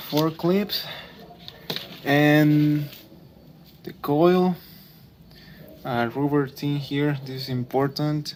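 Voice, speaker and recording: A man with a non-native accent and a fairly high pitch, very slow and with long, frequent pauses, fairly even intonation, big swings in loudness, and noticeable background noise. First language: not English. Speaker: car DIY youtuber. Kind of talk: tutorial. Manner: hesitant, many fillers.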